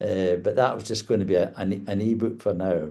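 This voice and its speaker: At a fairly quick pace, a man with a Scottish accent speaks in a dark, mellow tone. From Scotland. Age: 70s. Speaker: author. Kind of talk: interview. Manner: halting.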